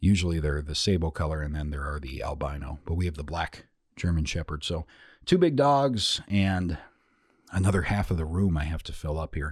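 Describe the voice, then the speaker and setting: On a very clean recording with a silent background, a man talks at a fairly quick pace in a very deep, low, somewhat breathy voice. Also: ordinary pitch variation. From US Midwest. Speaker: podcast host. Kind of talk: scripted-style podcast recap, casual monologue. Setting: studio. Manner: casual, chatty.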